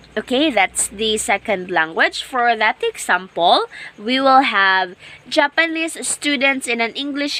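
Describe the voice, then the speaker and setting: Over noticeable background noise, a woman with a Visayan accent talks very slowly at a high pitch with lively intonation, and the sound is dry and close with no echo. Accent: Filipino (Visayan) English. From Philippines, Agusan del Sur (Mindanao). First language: Bisaya (Cebuano). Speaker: teacher. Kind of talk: lecture. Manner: repetitive, self-correcting.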